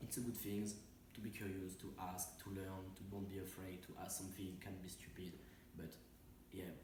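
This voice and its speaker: A man with a very deep, low pitch talks at a fairly quick pace in a monotone, flat intonation, with long, frequent pauses. Noticeable background noise and audible room echo fill the recording. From France, near Saint-Étienne. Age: 20s. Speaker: interviewee, traveler. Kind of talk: interview. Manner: halting.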